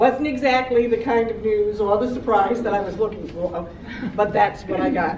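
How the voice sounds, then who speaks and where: Against noticeable background noise and audible room echo, a woman with a fairly high pitch speaks at a moderate pace and fairly even intonation. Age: 60s. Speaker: cancer survivor. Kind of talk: testimony.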